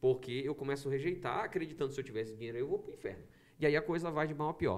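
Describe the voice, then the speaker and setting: A man's fairly high voice with lively intonation. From Brazil, Maranhão (São Luís). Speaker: pastor podcast guest. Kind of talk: casual podcast conversation. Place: studio. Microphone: studio mic.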